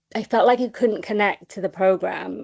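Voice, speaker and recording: In a Welsh accent, a woman speaks with a dark, mellow tone and fairly even intonation in a dry, close sound with no echo. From Wales, small village. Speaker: charity comms officer, person in recovery. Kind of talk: recovery testimony on a webinar. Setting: online webinar. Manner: hesitant, many fillers.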